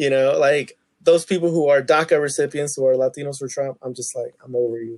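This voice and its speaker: A man's unremarkable speaking voice, fairly high in pitch, at a fairly quick pace with fairly even intonation and big swings in loudness. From Tulsa, Oklahoma. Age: 20s. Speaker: podcast guest. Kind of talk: casual chat.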